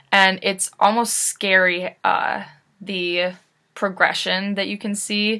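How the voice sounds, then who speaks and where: A woman's bright, sharp, monotone voice at a very slow pace, in a very clean recording with a silent background. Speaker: college student. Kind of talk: class presentation. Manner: hesitant with many fillers.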